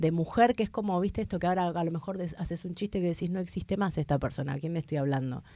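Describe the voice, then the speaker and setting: A woman with an Argentine accent talks at a very fast pace with hardly any pauses. Her tone is dark and mellow, with ordinary pitch variation. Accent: Argentine Spanish (Rioplatense). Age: 40s. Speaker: stand-up comedian. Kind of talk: casual interview chat.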